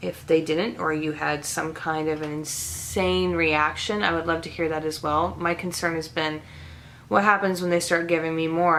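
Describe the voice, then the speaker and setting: Her voice is very deep and low for a woman, with monotone, flat intonation. She keeps a moderate pace. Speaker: vlogger. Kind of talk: casual vlog talk to camera.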